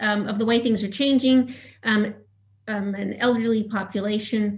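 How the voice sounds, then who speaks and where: The voice comes across somewhat breathy. There is audible room echo. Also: woman. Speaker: cultural anthropologist. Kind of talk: conference presentation. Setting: video call webinar. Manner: fast; halting with many fillers.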